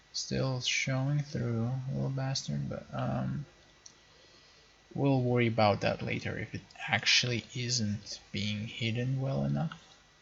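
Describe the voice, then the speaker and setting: Noticeable background noise is present. The pace is fairly slow. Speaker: 3D modeling hobbyist. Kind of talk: screen-recorded work session monologue. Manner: casual with many fillers.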